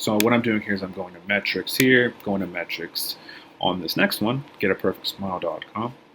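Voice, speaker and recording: A man speaks in a fairly low voice with fairly even intonation. Noticeable background noise can be heard. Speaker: SEO consultant. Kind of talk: screen-share tutorial. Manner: casual, filler-heavy; fast.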